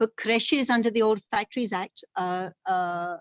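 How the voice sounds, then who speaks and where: Her pitch medium and its variation ordinary, a woman is talking. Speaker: labour lawyer. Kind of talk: expert talk at online panel. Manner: fast; halting, many fillers and restarts.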